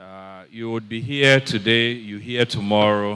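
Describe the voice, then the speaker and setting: Ordinary pitch variation marks this man's very slow speech. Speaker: book reviewer, fuel sector expert. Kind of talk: book launch review speech. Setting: event hall with audience, microphone. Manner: hesitant, many fillers.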